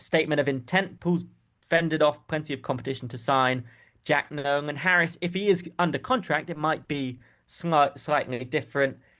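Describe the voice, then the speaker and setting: A man with a southern English accent talks at a moderate pace and a fairly high pitch, with ordinary pitch variation. The background is quiet. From southern England. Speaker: football journalist. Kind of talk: casual chat.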